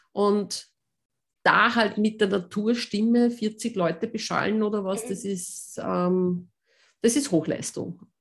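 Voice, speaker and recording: Somewhat breathy, a woman speaks very slowly at a medium pitch with fairly even intonation, on a very clean recording with a silent background. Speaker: voice coach and pianist. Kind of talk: interview.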